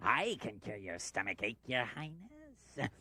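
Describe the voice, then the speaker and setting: In a cartoonish character voice pitched low-to-middle, the speaker goes at a fairly slow pace. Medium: puppet show. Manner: sly, drawling.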